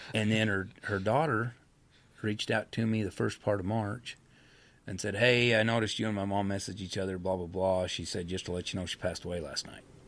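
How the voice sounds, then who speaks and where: A man speaks in an unremarkable speaking voice at a fairly low pitch with fairly even intonation. The recording is very clean, with a silent background. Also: fairly quick pace. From Idaho, US West. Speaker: horse trainer and rancher. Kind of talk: interview, personal storytelling. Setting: studio.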